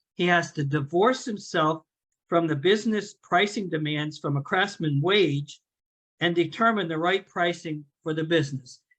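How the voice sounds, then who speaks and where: In a high voice with ordinary pitch variation, a man speaks at a moderate pace. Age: 70s. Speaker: business owner and CEO giving a talk. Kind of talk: presentation talk.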